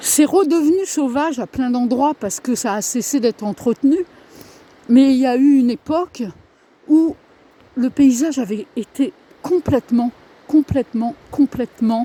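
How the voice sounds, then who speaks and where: Her voice is high-pitched and fairly slow, this woman pausing long and often, with ordinary pitch variation and a dry, close sound with no echo. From northern France. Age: 60s. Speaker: vlogger. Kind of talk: casual vlog monologue. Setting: outdoors on a walk. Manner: halting.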